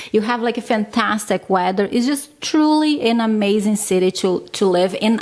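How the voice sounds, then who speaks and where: Noticeable background noise sits behind the voice. A woman talks at a moderate pace with a fairly high pitch. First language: not English. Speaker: vlogger, stay-at-home mom. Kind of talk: casual vlog talk.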